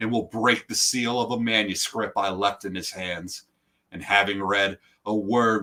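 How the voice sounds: Against a quiet background, this is a natural reading voice with fairly even intonation.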